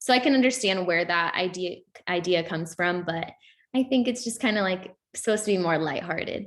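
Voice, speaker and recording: An unremarkable speaking voice, this woman talks at a fairly quick pace with a medium pitch and ordinary pitch variation. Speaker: youth panelist. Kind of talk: panel discussion.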